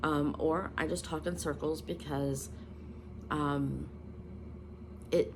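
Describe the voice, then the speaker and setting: A woman's very slow speech with audible room echo. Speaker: spiritual content creator. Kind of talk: casual vlog monologue. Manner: halting, many ums and self-corrections.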